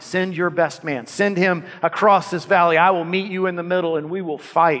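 Over light background noise, a loud, guttural put-on character voice comes through at a moderate pace. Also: man, high pitch for a man. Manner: loud, challenging, chilling.

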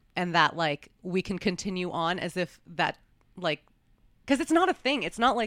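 A woman with an American accent uses a normal speaking voice at medium pitch with lively intonation. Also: moderate pace, dry, close sound with no echo, very clean recording, silent background. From New York, US. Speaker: podcast host, adult performer. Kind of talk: casual interview.

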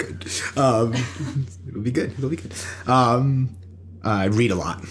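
A somewhat breathy man speaks with an American accent. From US East Coast, Long Island North Shore. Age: 20s. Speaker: educator and poet. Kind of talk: casual chat. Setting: home recording in a bedroom.

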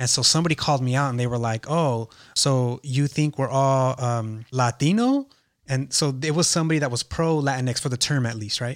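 On a very clean recording with a silent background, a man with an American accent and an unremarkable speaking voice talks at a fairly quick pace in a medium pitch with fairly even intonation. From East Los Angeles. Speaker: podcast host and artist manager. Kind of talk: casual interview chat.

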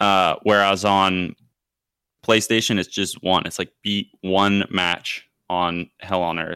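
A man's very deep, low voice with a bright, sharp tone and an American accent, monotone and flat, very slow, in a dry, close, echo-free and very clean recording with a silent background. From California. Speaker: podcast host.

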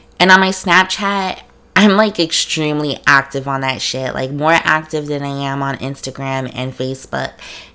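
The tone is animated, bright and sharp, with big swings in loudness and ordinary pitch variation. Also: woman, very deep, low pitch for a woman, moderate pace. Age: 20s. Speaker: podcast host. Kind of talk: casual solo monologue.

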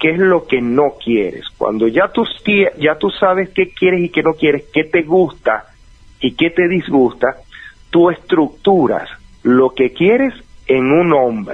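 Music plays in the background as a man speaks at a very slow pace. His fairly high voice has lively intonation and very even loudness. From Venezuela (Valencia). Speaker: life coach. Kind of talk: advice interview.

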